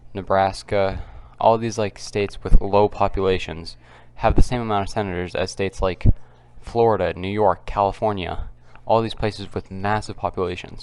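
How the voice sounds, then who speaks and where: A man's fairly low, monotone voice with flat intonation, at a moderate pace against a quiet background. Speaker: political commentary youtuber. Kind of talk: casual vlog commentary. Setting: at home. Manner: halting.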